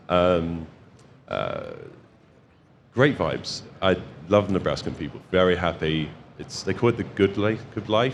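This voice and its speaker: Long, frequent pauses break up a man's fairly slow speech at a very deep, low pitch. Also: ordinary pitch variation. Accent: Home Counties. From England, home counties (Kings Langley). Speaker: solar distribution branch manager. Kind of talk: casual interview. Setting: expo floor.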